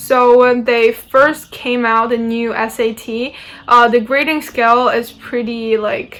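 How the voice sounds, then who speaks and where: With a non-native accent, a woman of high pitch speaks at a very slow pace. Her intonation is monotone and flat, and there is noticeable background noise. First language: not English. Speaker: university student. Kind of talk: informational talk. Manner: hesitant, many fillers.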